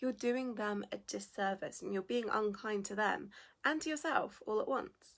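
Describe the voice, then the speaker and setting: Her pitch is fairly high and her intonation lively. The woman keeps a moderate pace. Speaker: business founder and coach. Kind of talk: livestream talk. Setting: livestream video.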